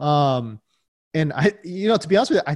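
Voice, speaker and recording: Recorded very cleanly with a silent background and a dry, close sound with no echo, a man uses a normal speaking voice at fairly high pitch with lively intonation. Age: 40s. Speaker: fantasy football analyst. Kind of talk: casual chat. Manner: fillers and repetitions.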